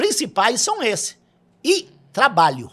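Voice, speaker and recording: A man with a southern Brazilian accent speaks in a raised, projected voice at a very slow pace. His tone is bright and sharp, and his pitch swings very widely. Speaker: grape farmer. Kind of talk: podcast interview. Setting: studio. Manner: repetitive, halting.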